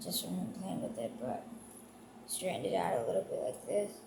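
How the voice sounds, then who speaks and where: There is noticeable background noise throughout. Over it, a woman speaks at a moderate pace. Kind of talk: casual talk to camera.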